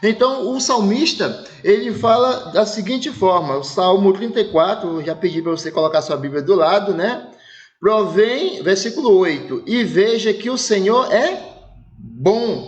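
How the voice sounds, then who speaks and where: At a fairly slow pace, a man talks in a high pitch with very wide pitch swings. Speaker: pastor. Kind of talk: sermon. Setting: online church service broadcast.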